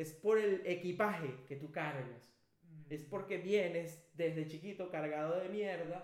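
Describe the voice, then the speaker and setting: A man with a high pitch at a fairly slow pace, with big swings in loudness. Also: ordinary pitch variation. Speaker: podcast co-host. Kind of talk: casual chat. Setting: studio.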